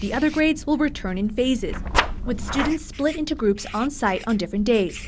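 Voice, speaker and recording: It is a plain, everyday voice. A woman talks at a fairly quick pace with lively intonation. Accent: American. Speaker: TV news reporter and anchor. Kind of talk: TV news report voiceover.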